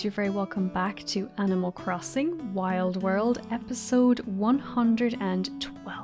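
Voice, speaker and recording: Over music in the background, a woman speaks at a fairly slow pace in an Irish accent, with a medium pitch and ordinary pitch variation. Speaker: gamer. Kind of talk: casual let's play commentary. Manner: relaxed, chatty.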